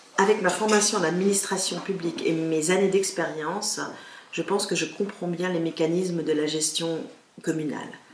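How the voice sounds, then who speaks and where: A woman speaks at a moderate pace with a fairly low pitch and fairly even intonation. Audible room echo and noticeable background noise fill the recording. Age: 50s. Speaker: local politician. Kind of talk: campaign statement. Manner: formal.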